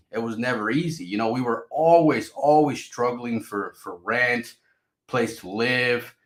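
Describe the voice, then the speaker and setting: A man in a Spanish accent, at a moderate pace with ordinary pitch variation. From Mexico, raised in US (California) from age five. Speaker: crypto YouTuber. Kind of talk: casual vlog monologue. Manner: repetitive, stammering restarts.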